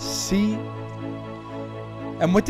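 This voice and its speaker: A man speaks with music in the background. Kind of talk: spoken word poetry.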